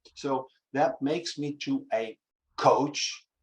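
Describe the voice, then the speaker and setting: With a Dutch accent, a man is talking. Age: 60s. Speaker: acting teacher. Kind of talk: interview conversation. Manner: halting.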